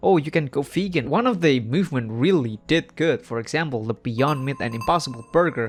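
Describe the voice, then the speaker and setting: Over music in the background, a man with a non-native accent speaks at a moderate pace with lively intonation. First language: not English. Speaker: commentary youtuber. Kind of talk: video commentary. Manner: casual, halting.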